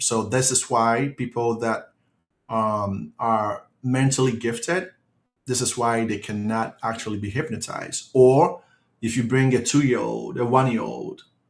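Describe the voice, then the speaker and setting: A man's normal speaking voice, medium in pitch, with ordinary pitch variation at a fairly slow pace. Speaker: hypnotist giving a quit-smoking webinar. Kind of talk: online webinar presentation.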